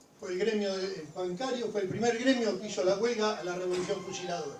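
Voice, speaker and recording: A high-pitched man at a fairly quick pace, with audible room echo and noticeable background noise. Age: 80s+. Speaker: audience member, retired bank unionist. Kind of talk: audience question.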